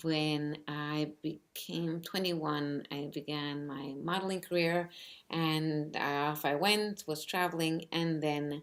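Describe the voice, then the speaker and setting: Very slow and monotone, a woman speaks with very deep, low pitch, flat intonation and a Spanish accent. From New York City, Cuban family. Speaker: author. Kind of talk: personal storytelling. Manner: halting, many fillers.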